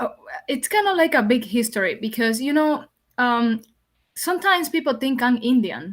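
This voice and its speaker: A woman with a Spanish accent, high-pitched, at a moderate pace and with lively intonation. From Dominican Republic. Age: young. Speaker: podcast guest. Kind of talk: interview conversation.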